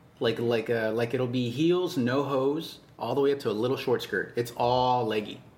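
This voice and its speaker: Over noticeable background noise, a man speaks at a medium pitch and a moderate pace, with hardly any pauses, very even loudness and fairly even intonation. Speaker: podcast co-host. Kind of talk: casual chat.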